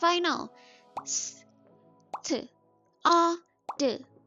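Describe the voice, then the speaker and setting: Music plays in the background. Over it, a woman speaks at a high pitch. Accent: Thai. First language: Thai. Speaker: English learning content creator. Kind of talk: casual talk to camera, language-learning advice.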